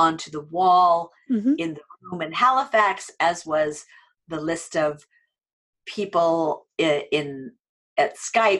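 A plain, everyday voice from a woman with an American accent, fairly low in pitch, with ordinary pitch variation. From United States. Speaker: online training entrepreneur and adjunct faculty. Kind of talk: interview.

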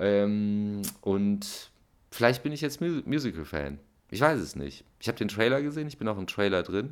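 Against a very clean recording with a silent background, a man with a fairly low pitch talks at a fairly slow pace, his pitch swinging very widely. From Germany. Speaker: musician. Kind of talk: casual monologue.

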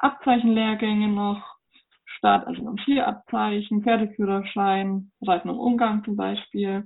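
The intonation holds fairly even. Delivery is at a fairly slow pace. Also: woman. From Germany, Upper Franconia. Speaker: riding instructor. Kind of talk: interview.

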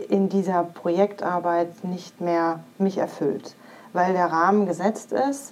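Amid noticeable background noise, a woman with a medium pitch speaks at a very slow pace. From western Germany (Iserlohn, Sauerland). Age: 40s. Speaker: career coach and breast cancer survivor. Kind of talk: interview testimony.

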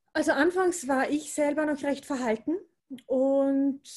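A high-pitched woman's voice with an Austrian accent, ordinary pitch variation and a fairly slow pace. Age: 40s. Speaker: primary school teacher and energy worker. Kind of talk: casual chat.

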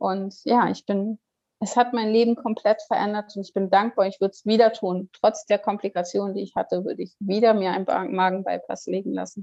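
Her voice dark and mellow in tone, a woman speaks at a fairly quick pace with a medium pitch and fairly even intonation, the sound dry and close with no echo. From northern Germany, Kiel. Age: 40s. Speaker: near-death experience survivor. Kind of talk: personal testimony interview. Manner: hesitant, many fillers.

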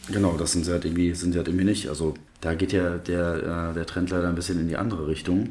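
Very fast, monotone speech with flat intonation comes through with audible room echo. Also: man, very deep, low pitch for a man. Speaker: basketball fan expert. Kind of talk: casual chat. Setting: temporary studio.

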